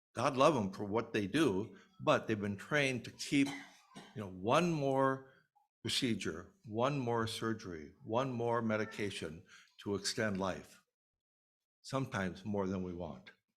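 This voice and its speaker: Speaking at a fairly slow pace with long, frequent pauses, a man uses lively intonation at a medium pitch. Audible room echo surrounds him. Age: 70s. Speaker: minister. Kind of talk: sermon.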